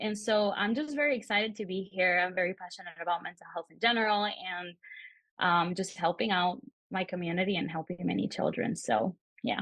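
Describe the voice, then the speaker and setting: A woman with an American accent speaks at a fairly quick pace and medium pitch. Her loudness swings a lot, while her pitch variation is ordinary. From Peru, raised in the US. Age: 20s. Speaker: social work student. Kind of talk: podcast interview.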